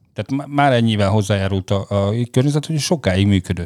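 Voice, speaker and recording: On a very clean, dry recording with a silent background and no echo, a man with a fairly low pitch and a dark, mellow tone talks at a very fast pace with ordinary pitch variation. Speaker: air pollution expert. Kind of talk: casual discussion. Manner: fast, rushed.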